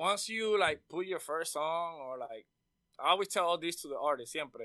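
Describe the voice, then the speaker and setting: Using a high, bright and sharp voice, a man speaks at a moderate pace with ordinary pitch variation. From Puerto Rico. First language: Spanish. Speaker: audio engineer. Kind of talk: casual interview.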